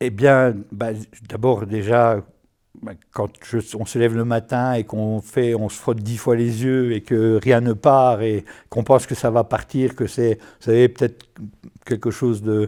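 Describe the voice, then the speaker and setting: Over a very clean recording with a silent background, a man speaks at a fairly slow pace and medium pitch, monotone and flat in intonation, with a dark, mellow tone and big swings in loudness. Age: 60s. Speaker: patient, IT consultant. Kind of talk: testimony. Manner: halting, many hesitations and repetitions.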